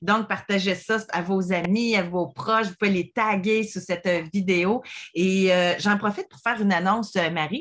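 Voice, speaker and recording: A woman's medium-pitched voice with fairly even intonation whose loudness swings widely. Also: fairly slow pace. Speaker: podcast host. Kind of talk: casual chat.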